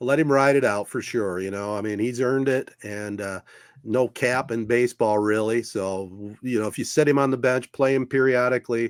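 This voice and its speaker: An ordinary speaking voice with an American accent moves at a moderate pace with fairly even intonation, dry and close with no echo, in a very clean recording with a silent background. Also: man, medium pitch for a man. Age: 60s. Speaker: sports podcast host. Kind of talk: casual chat.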